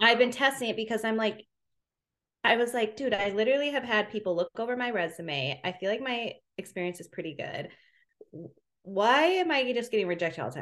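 A woman's very fast speech with an American accent, very wide pitch swings and big swings in loudness. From US Midwest, Minneapolis suburb. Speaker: entrepreneur. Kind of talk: casual chat.

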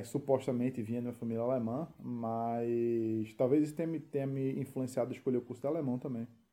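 A fairly quick-paced male voice of medium pitch with a dark, mellow tone. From Recife, Brazil. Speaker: expat content creator. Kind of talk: casual chat.

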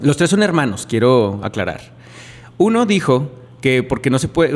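A man uses a plain, everyday voice, pitched fairly high and delivered at a moderate pace. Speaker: podcast host. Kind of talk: scripted narration; casual chat.

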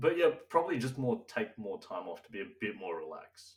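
This man's loudness jumps up and down a lot. He talks at a fairly quick pace. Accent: Australian. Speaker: podcast co-host. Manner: casual, chatty.

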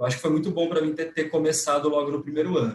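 The voice is somewhat breathy and the pace very fast. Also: man. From interior of São Paulo state, Brazil. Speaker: lawyer. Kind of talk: interview. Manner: hesitant, frequent repetitions.

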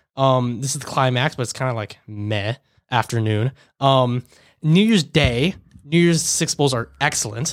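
In a very clean recording with a silent background, a man speaks at a medium pitch with ordinary pitch variation. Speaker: sports podcast co-host. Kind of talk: casual banter. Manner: fast talker.

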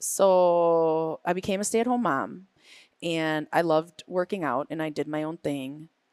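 A woman with an American accent speaks in an unremarkable speaking voice, fairly low in pitch with ordinary pitch variation, at a fairly slow pace, dry and close with no echo on a very clean recording with a silent background. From Green Bay, Wisconsin. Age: 40s. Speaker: fitness and yoga coach. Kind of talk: casual interview. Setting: studio at a gym.

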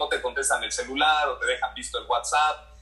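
A man's voice over noticeable background noise. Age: 30s. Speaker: sports journalist and TV reporter. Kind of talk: casual interview chat.

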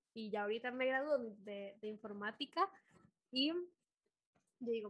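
With a Costa Rican accent, a woman speaks at a fairly high pitch in a bright, sharp tone. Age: 20s. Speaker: podcast host. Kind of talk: casual chat. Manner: animated.

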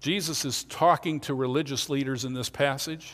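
This man has an unremarkable speaking voice, fairly high in pitch, with an American accent and fairly even intonation at a moderate pace. The recording is very clean, with a silent background. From Pennsylvania, Lancaster County. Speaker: pastor. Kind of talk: sermon.

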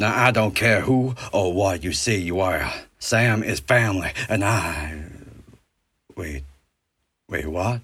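A man's raspy, put-on character voice, fairly low in pitch, at a fairly slow pace with long, frequent pauses. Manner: folksy, jovial, drawling.

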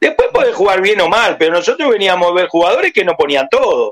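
A man is talking at a high pitch. His intonation moves in a lively way. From Uruguay. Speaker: former football player. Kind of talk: phone interview.

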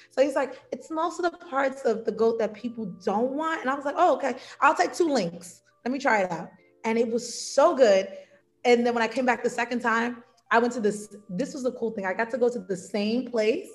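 With music in the background, a woman in an American accent talks at a fairly quick pace and high pitch with lively intonation. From United States. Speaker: travel content creator and teacher. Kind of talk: interview.

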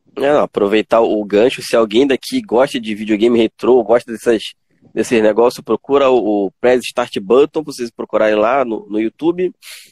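A man talks in a normal speaking voice at a medium pitch with ordinary pitch variation. The sound is dry and close, with no echo. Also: moderate pace. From Pará, Brazil (Tucuruí). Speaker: gaming streamer and interview host. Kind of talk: casual interview chat on a livestream.

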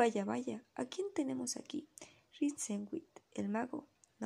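The reading here comes in an unforced voice.

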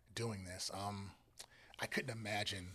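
This man speaks with an American accent. His tone is bright and sharp. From Northern Virginia. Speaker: photographer and content creator. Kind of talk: casual interview chat.

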